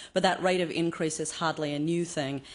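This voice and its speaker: At a fairly quick pace, a woman speaks in a flat monotone with a very deep, low pitch. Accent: Australian. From Australia. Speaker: cultural anthropologist, conference speaker. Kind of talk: conference talk. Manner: fast.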